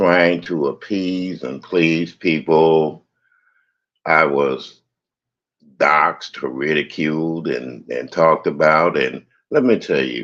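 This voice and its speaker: Very slow in pace, a man with an American accent speaks at a very deep, low pitch with ordinary pitch variation. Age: 70s. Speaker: live streamer and DJ. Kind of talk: personal monologue on a livestream. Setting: YouTube livestream. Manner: animated.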